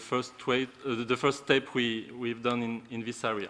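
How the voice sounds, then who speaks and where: A man speaks with a French accent at a moderate pace. His pitch is medium, and his intonation is monotone and flat. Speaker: responsible investment officer. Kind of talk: conference presentation. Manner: halting.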